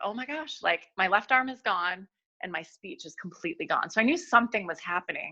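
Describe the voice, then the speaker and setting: Against a quiet background, a woman with an American accent speaks at a moderate pace in a bright, sharp, animated tone. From New York. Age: 40s. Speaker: midwife. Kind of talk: testimony.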